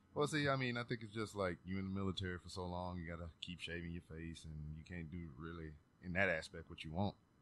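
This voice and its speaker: Mumbling in a slight Southern US accent, a man speaks at a very deep, low pitch with ordinary pitch variation. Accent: slight Southern drawl. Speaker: podcast host. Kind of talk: casual chat.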